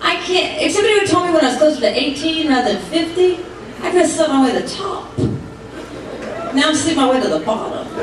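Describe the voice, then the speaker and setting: With an extremely high pitch and lively intonation, a woman talks at a very fast pace amid noticeable background noise and audible room echo. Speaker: stand-up comedian. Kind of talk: stand-up comedy routine. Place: stage.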